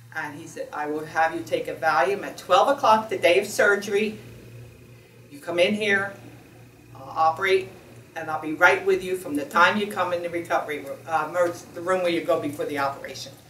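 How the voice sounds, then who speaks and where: Over noticeable background noise, a woman with a fairly low pitch talks at a fairly quick pace, her loudness swinging widely while her pitch varies in an ordinary way. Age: 70s. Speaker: surgery patient. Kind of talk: testimony. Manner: halting.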